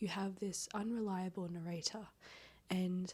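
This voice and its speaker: Whispering and soft-spoken, a woman talks at a fairly slow pace in a somewhat breathy voice. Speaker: book vlogger. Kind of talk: casual reading vlog. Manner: soft, near-whispering; animated.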